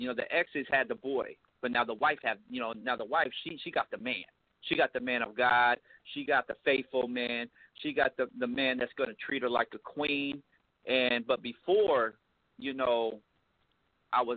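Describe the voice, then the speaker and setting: This is a man with an unremarkable speaking voice. He speaks at a moderate pace in a medium pitch. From US West Coast (Riverside, California). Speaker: musician and author. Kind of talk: casual interview.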